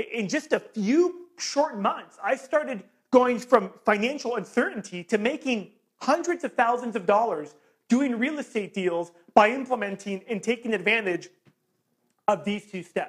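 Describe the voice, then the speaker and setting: A loud, animated man's voice at an extremely high pitch, lively in intonation and moderate in pace. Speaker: real estate investing coach. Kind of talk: sales pitch.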